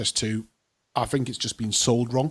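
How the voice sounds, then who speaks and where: He speaks with a Geordie accent. The speaker is a man. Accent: Geordie (Newcastle) English. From northern England, Newcastle. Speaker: property investor and show host. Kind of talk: casual chat. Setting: studio.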